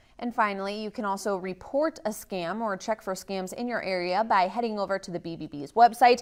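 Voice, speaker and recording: On a very clean recording with a silent background, a woman with an American accent and a plain, everyday voice talks at a fairly quick pace and medium pitch, with ordinary pitch variation, big swings in loudness and hardly any pauses. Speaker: TV news anchor and reporter. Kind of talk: TV news package voiceover.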